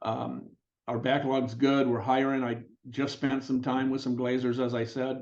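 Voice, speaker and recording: There is audible room echo as a man with an American accent speaks at a medium pitch and moderate pace, his intonation monotone and flat. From Detroit. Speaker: glass company co-owner. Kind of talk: casual interview.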